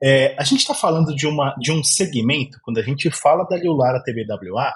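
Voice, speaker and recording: A man with an interior São Paulo accent talks with vocal fry. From Brazil, interior of São Paulo. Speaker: podcast host. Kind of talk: podcast interview.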